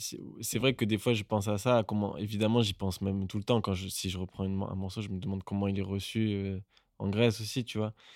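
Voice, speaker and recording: An unremarkable speaking voice from a man, fairly low in pitch with fairly even intonation and a fairly quick pace, on a very clean recording with a silent background. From southern France, Marseille. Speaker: musician. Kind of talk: casual chat.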